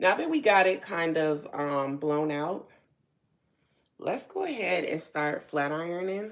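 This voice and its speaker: With an American accent, a woman speaks in an ordinary speaking voice, fairly low in pitch, with ordinary pitch variation at a fairly slow pace. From New Jersey. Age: 40s. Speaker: hair and beauty youtuber. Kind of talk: live stream tutorial. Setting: home live stream. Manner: casual, chatty.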